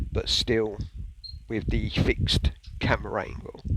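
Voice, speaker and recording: With noticeable background noise, a man with a British accent speaks quietly. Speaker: retro gaming YouTuber. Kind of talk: casual video review.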